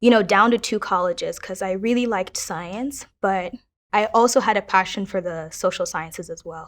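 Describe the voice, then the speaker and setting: A woman's medium-pitched voice moves at a moderate pace with ordinary pitch variation and big swings in loudness, in a very clean recording over a silent background. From Kenya, raised in Minnesota from age 8. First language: Kiswahili. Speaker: university student. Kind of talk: personal testimony interview.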